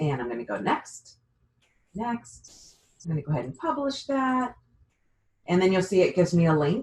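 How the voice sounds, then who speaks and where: The speaker moves at a moderate pace. Long pauses come often. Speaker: real estate website trainer. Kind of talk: tutorial. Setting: video call.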